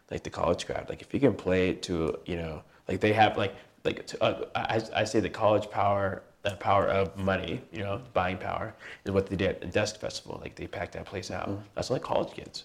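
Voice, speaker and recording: In a very clean recording with a silent background, a man speaks at a fairly quick pace. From California, military family, moved around. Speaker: musician and event organizer. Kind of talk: interview. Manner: halting, many fillers.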